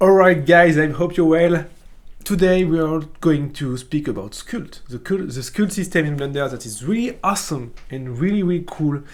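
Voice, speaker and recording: With a strong French accent, a man talks at a fairly high pitch and moderate pace with lively intonation, and the room echo is audible. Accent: thick French. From France. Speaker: 3D art teacher. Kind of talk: tutorial. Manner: casual, halting with many fillers.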